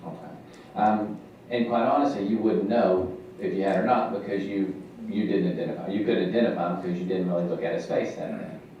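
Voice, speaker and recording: A man with a fairly low pitch speaks at a fairly quick pace with ordinary pitch variation, amid noticeable background noise and audible room echo. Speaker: defense attorney. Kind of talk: courtroom cross-examination. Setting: courtroom. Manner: fast.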